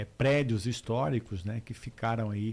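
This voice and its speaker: A man speaks at a moderate pace in a medium-pitched voice with ordinary pitch variation. His tone is dark and mellow, and somewhat breathy. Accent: strong Mato Grosso do Sul. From Corumbá, Mato Grosso do Sul, Brazil. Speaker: politician. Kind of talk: radio interview. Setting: radio studio. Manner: hesitant, many fillers.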